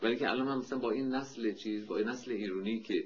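He has an unremarkable speaking voice, pitched at a medium level. The man's pace is fairly quick. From Iran, Tehran. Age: 50s. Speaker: architect and painter. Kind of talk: oral history interview.

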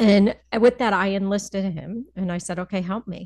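In a plain, everyday voice, a woman with an American accent speaks at a moderate pace and medium pitch. Her intonation is fairly even, over a quiet background. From US Northeast, Connecticut (Hartford area). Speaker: financial advisor. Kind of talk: casual interview.

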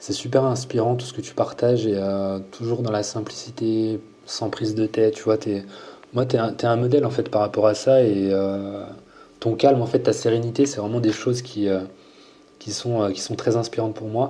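A man speaks at a medium pitch in a monotone, flat intonation, leaving long, frequent pauses. Noticeable background noise runs underneath. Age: 30s. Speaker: fitness coach and YouTuber. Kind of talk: casual interview.

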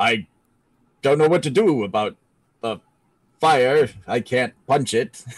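A booming, put-on character voice from a man at medium pitch, at a fairly slow pace with long, frequent pauses. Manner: worried.

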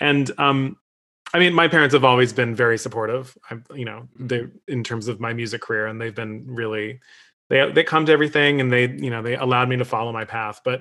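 An ordinary speaking voice from a man, medium in pitch, with fairly even intonation and a fairly quick pace. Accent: American. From Michigan (Detroit area). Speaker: opera singer. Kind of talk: casual discussion.

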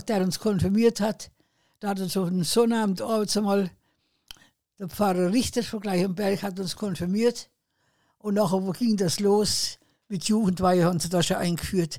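In a very clean recording with a silent background, a woman with a medium pitch and a dark, mellow tone speaks at a moderate pace with fairly even intonation and long, frequent pauses. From southern Thuringia, Milz. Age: 80s+. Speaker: retired farmer, eyewitness. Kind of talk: oral history interview. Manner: halting.

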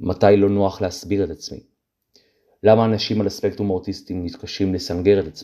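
At a fairly quick pace, a man speaks in a dark, mellow tone at fairly low pitch, his intonation fairly even and his loudness swinging widely. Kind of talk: personal testimony monologue. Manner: long run-on sentences.

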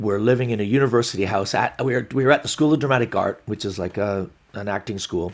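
Speaking at a fairly quick pace in an unremarkable speaking voice, a man with a medium pitch is heard on a very clean recording with a silent background. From Glasgow, Scotland, and Canada. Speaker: stand-up comedian. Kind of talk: casual interview.

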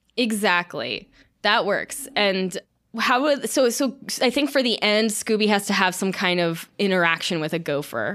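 Lively in intonation, a woman with an American accent uses an unremarkable speaking voice at a moderate pace, recorded very cleanly against a silent background. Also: medium pitch for a woman. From US South, Florida. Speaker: podcast host. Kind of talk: casual chat.

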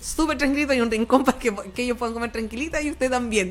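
A woman with a high pitch talks at a very fast pace, her pitch varying in an ordinary way. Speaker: radio host. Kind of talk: casual chat.

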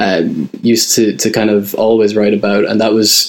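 Speaking at a moderate pace, a man of medium pitch has an Irish Midlands accent. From Ireland, County Roscommon. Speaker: music writer. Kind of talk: casual interview.

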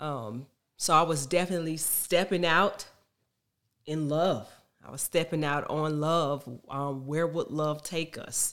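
With an American accent, a woman speaks fairly slowly in a very deep, low voice with fairly even intonation and long, frequent pauses. The recording is very clean, with a silent background. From Texas. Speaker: military spouse. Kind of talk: testimony. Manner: halting.

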